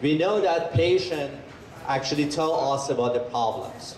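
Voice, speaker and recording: Noticeable background noise and audible room echo surround a man with a fairly high pitch. He talks at a moderate pace with ordinary pitch variation. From Iran. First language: Persian. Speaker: bioengineer and researcher. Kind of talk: presentation to an audience.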